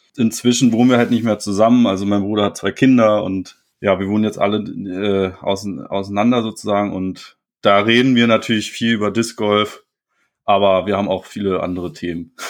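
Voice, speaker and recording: Against a quiet background, a man with an unremarkable speaking voice talks at a moderate pace in a fairly low pitch with fairly even intonation. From Germany, Berlin-Potsdam area. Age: 20s. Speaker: disc golf player. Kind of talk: casual interview.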